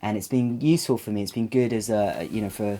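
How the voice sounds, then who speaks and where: Speaking with an American accent, a man keeps a fairly low pitch and fairly even intonation. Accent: British with slight American twang. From England, with childhood in Saudi Arabia. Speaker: vlogger and filmmaker. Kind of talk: casual vlog. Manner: halting, many fillers.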